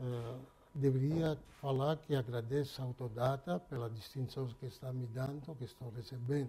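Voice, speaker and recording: A dark, mellow, somewhat breathy tone at a moderate pace. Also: man, medium pitch for a man, fairly even intonation. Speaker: auto parts company president. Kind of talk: interview. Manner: halting.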